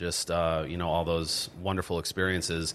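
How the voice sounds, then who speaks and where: The recording is very clean and the background completely silent. A man talks at a moderate speed. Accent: American. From Pennsylvania. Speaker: inspirational speaker, army veteran. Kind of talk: interview.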